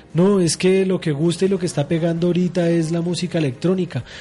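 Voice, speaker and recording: A man with a high voice speaks at a fairly quick pace and with fairly even intonation while music plays in the background. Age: 30s. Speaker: radio host. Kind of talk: radio talk show on religion.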